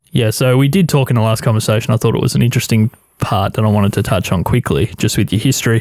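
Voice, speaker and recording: Very fast speech in an Australian accent keeps its loudness very even. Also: man, medium pitch for a man, ordinary pitch variation. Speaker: podcast host. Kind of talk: casual chat. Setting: radio studio. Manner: slightly louder when recording.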